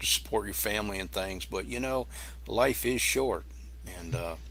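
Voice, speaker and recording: A man speaks at a fairly quick pace with an American accent. His tone is bright and sharp, with vocal fry. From Massachusetts, Boston area. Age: 60s. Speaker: YouTube cooking channel creator. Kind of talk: casual interview chat. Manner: halting, with many restarts.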